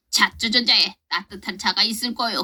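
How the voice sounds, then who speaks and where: A woman's put-on character voice, rumbling and fairly high in pitch, with fairly even intonation at a moderate pace. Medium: read story. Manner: grumbling, curt.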